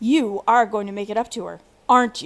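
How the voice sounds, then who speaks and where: Putting on a growling character voice, a woman talks fairly quickly at a fairly high pitch. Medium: read story. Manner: forceful.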